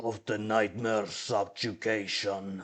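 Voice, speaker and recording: A man puts on a raspy character voice, pitched fairly low, speaking at a fairly slow pace in a flat monotone. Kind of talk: Nosferatu-like creepy voice. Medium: actual play. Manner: slow, imperious.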